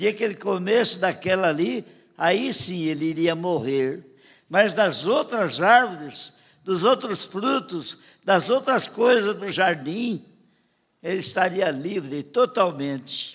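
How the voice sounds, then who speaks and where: A man talks at a very slow pace with a high pitch and lively intonation. The recording is very clean, with a silent background. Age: 80s+. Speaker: pastor. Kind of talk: sermon. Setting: church.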